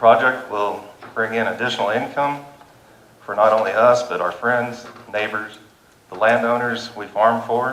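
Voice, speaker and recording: In a room with audible echo, a man with an American accent speaks at a moderate pace and medium pitch, in a flat monotone broken by long, frequent pauses. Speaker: farmer and landowner speaking at public meeting. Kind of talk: public comment at county meeting. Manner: halting.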